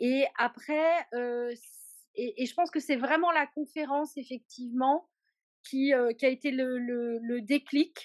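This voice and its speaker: A woman speaks fairly slowly at a high pitch with ordinary pitch variation. The sound is dry and close, with no echo. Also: quiet background. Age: 50s. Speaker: client of a weight-loss coaching program. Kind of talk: testimonial interview. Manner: halting with frequent hesitations. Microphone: poor sound quality.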